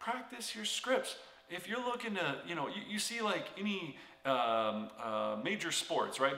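A man talks at a moderate pace. Room echo is audible. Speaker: real estate coach. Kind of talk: motivational tutorial talk. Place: home room.

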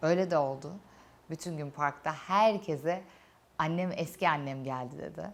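Vocal fry runs through this voice, whose pitch moves in an ordinary way. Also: woman. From Turkey, Antalya. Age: 30s. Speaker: YouTuber, cancer survivor. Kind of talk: personal testimony. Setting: studio set during makeup session. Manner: emotional, reflective.

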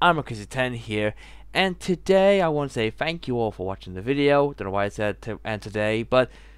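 Over a quiet background, a man at a moderate pace makes very wide pitch swings, with a dry sound and no echo. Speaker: vlogger. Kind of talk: casual vlog outro. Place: home room. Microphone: headset.

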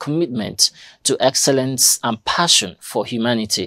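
The background is quiet as a man speaks. His pitch is medium and his pace moderate. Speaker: news presenter. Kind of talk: news reading. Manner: formal, measured newsreader delivery. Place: studio.

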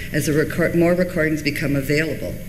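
A woman's very deep, low voice at a moderate pace, with noticeable background noise. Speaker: reference librarian and archivist. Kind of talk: conference presentation. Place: hall. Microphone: podium.

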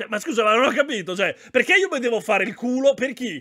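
An extremely high-pitched man's raised, projected voice, bright and sharp in tone, on a very clean recording with a silent background. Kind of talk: casual chat. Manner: animated, chatty, profane.

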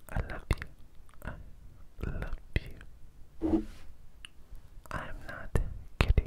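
A man whispers at a very slow pace. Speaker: ASMR creator. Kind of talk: soft whispered ASMR talk. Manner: cupped close-mic whisper. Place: home room. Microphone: handheld.

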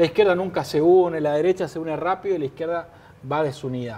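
Fairly quick and high-pitched for a man, his voice has a dark, mellow tone. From Argentina. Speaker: TV news host. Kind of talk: TV interview; interview question and reading viewer messages. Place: studio.

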